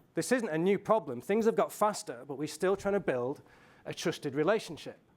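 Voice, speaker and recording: A man speaks fairly quickly with lively intonation, very cleanly recorded against a silent background. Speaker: marketing strategist. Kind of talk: conference presentation. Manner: fast; animated.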